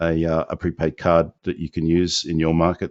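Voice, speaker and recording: This is a man's voice. Its pitch is very deep and low. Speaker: business opportunity presenter. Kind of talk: live webinar Q&A. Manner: hesitant, many fillers.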